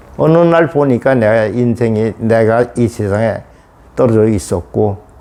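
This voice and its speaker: Medium-pitched male speech at a moderate pace, with noticeable background noise. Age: 80s+. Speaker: elderly student. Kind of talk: interview monologue. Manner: halting.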